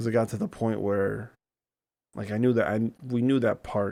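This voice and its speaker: This man's voice sits fairly low. His pitch varies in an ordinary way. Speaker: podcast host. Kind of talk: casual personal talk to camera.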